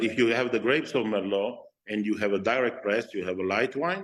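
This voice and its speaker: A Slovenian accent over a quiet background. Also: man. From Slovenian-Italian border area (Oslavia). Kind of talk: interview. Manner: halting, many fillers and repeats.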